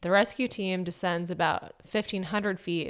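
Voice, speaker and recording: A plain, everyday voice from a woman, fairly low in pitch with fairly even intonation, in a very clean recording with a silent background. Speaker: podcast host and storyteller. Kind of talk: narrated true story with casual banter.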